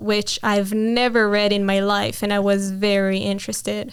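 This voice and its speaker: A woman speaks with an Israeli accent at a fairly slow pace. Her pitch is fairly high. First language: Hebrew. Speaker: interviewee sharing faith story. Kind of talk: testimony. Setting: interview.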